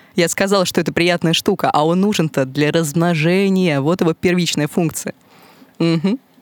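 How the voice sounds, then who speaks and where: In a normal speaking voice, a woman talks at a moderate pace with a fairly low pitch and fairly even intonation. Her loudness is very even, and the sound is dry and close with no echo. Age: 20s. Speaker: podcast guest. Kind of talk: casual chat. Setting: studio.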